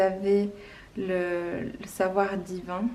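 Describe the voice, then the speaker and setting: The woman speaks with a monotone, flat intonation. Audible room echo fills the recording. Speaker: tarot card reader. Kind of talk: tarot reading video. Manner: slow; calm.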